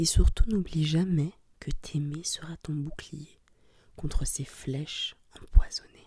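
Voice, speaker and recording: Soft-spoken, the voice moves at a very slow pace. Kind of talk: ASMR soft-spoken story reading.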